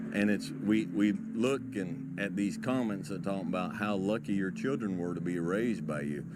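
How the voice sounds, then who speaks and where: A man with a fairly low pitch talks at a moderate pace with hardly any pauses and ordinary pitch variation, in audible room echo. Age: middle-aged. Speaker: motivational speaker. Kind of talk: monologue. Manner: calm.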